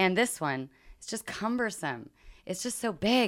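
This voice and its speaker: Animated in tone, a woman talks at a moderate pace with very wide pitch swings on a very clean recording with a silent background. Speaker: podcast host. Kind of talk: casual conversational podcast. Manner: animated, profane.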